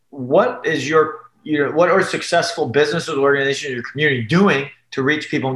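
Here a man talks at a fairly quick pace. His pitch sits fairly high. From US Midwest, Detroit area, Michigan. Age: 30s. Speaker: church planter, pastor. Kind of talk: casual interview. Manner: animated, many fillers.

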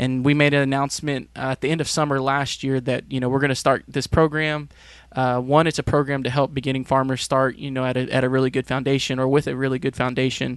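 Words come at a very fast pace in a monotone, flat intonation. The man has a medium pitch. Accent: American. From Texas. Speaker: agricultural extension specialist. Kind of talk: interview.

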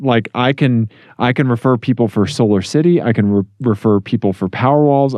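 In a dry, close sound with no echo, a man with a plain, everyday voice talks at a moderate pace in a medium pitch with ordinary pitch variation. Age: 40s. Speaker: podcast co-host. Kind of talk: casual chat.

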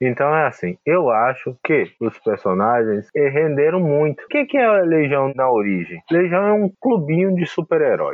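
Very wide pitch swings from a male speaker, delivered at a moderate pace. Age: 40s. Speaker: comics expert. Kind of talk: casual chat.

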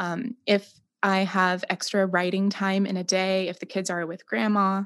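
With an unremarkable speaking voice, a woman speaks at a fairly slow pace and medium pitch against a quiet background. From Romania and US, missionary's daughter. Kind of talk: interview conversation.

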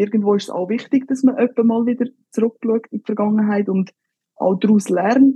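A woman's fairly high-pitched, somewhat breathy voice with a dark, mellow tone, fairly quick pace and fairly even intonation, dry and close with no echo. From Switzerland, Graubünden (Engadin). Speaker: professional football goalkeeper. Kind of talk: casual interview.

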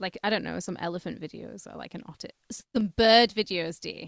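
In a British accent, a woman speaks at a fairly quick pace and medium pitch with a bright, sharp tone, vocal fry and lively intonation, the sound dry and close with no echo against a quiet background. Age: 30s. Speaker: podcast co-host. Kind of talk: casual chat.

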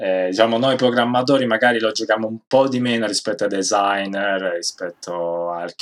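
A man with a normal speaking voice, fairly low pitch, ordinary pitch variation and moderate pace, on a very clean recording with a silent background. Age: 30s. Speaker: game programmer. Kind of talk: interview.

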